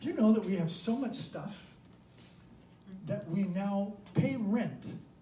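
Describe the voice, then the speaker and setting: A high-pitched man speaks at a fairly slow pace with ordinary pitch variation. Noticeable background noise and audible room echo fill the recording. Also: long, frequent pauses. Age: 70s. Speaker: minister. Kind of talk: sermon.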